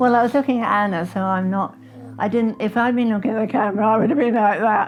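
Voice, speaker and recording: Over noticeable background noise, a woman with an English accent speaks at a very fast pace in a fairly high pitch. Her intonation is fairly even and her loudness very even. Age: 80s+. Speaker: grandmother interviewed about her life. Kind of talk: reflective life interview. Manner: gentle, reflective.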